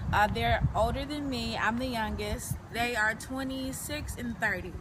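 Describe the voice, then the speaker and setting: A woman with an American accent at a fairly slow pace, over noticeable background noise and audible room echo. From Detroit, Michigan, US. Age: 20s. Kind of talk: personal interview. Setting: outdoors.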